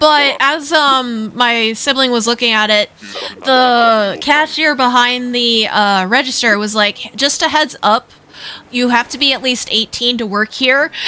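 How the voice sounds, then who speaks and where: Over noticeable background noise, a woman talks at a fairly slow pace with a high pitch and ordinary pitch variation. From Netherlands. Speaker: video game streamer. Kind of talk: casual live-stream chat.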